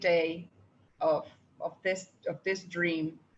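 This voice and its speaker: A woman speaks in a Spanish accent. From Panama. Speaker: participant asking a question. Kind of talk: audience question in online meeting. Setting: video call. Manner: halting.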